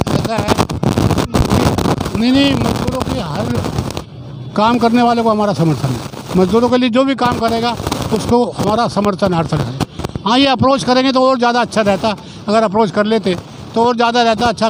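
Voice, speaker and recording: Over noticeable background noise, a man with a high pitch talks with lively intonation. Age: 80s+. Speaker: retired workers' union secretary. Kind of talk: interview at protest.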